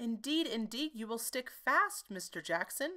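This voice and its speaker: In a put-on character voice, a woman speaks at a moderate pace with a fairly high pitch. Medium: read story. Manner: prim, fussy.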